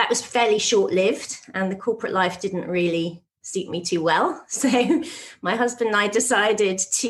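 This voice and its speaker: This woman has a British accent. Her pitch is medium. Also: ordinary pitch variation, moderate pace. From UK. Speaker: nutritionist and author. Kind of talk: podcast interview.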